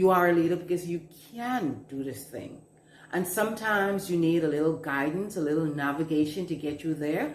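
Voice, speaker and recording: Audible room echo around a voice in a Bahamian accent. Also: woman. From Bahamas. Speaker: management coach. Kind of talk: advice talk to camera. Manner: slow.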